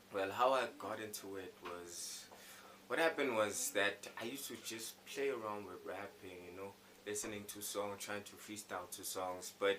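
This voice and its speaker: Over noticeable background noise, a man with a fairly low pitch talks at a moderate pace, his loudness swinging widely. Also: ordinary pitch variation. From South Africa, Soweto. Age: 20s. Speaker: rapper and singer. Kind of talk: interview answers. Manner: hesitant, with restarts.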